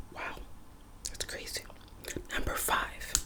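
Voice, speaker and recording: A whispered voice comes through amid noticeable background noise. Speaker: ASMR artist. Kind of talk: ASMR reading of history facts.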